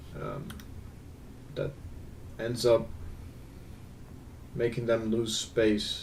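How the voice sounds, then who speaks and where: Amid audible room echo, a man speaks very slowly in a somewhat breathy, monotone, flat voice with long, frequent pauses. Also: medium pitch for a man. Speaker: gaming video creator. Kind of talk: gameplay analysis commentary. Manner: casual, hesitant with fillers.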